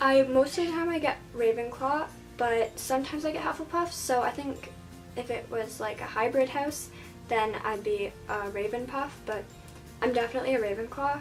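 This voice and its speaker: Music plays behind a soft-spoken woman whose fairly high voice shows ordinary pitch variation. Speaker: book reviewer. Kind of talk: casual talk to camera, book tag answers. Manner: shy, soft-spoken.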